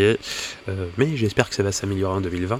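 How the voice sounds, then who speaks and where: A man's voice with fairly even intonation. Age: 30s. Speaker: podcaster, wargaming hobbyist. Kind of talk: solo podcast monologue. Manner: halting, many fillers and repetitions.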